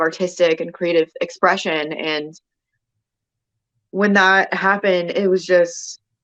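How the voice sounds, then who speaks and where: Monotone, flat intonation at a moderate pace. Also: woman. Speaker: detransitioner sharing experience. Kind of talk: interview testimony. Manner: halting, many fillers.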